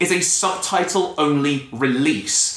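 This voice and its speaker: With lively intonation, a man talks at a fairly high pitch against noticeable background noise. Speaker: podcast host. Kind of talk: casual chat. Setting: studio. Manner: fast.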